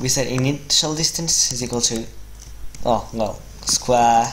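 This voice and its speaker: Through noticeable background noise comes a man talking fairly slowly. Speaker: web developer. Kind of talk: coding tutorial commentary.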